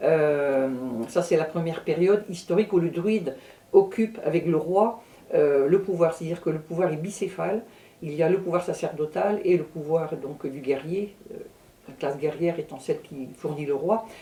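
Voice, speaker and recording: A woman speaks at a moderate pace in an ordinary speaking voice. Her pitch sits fairly low, with ordinary pitch variation. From Brittany, France. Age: 60s. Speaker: astrologer and druidess. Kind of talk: interview.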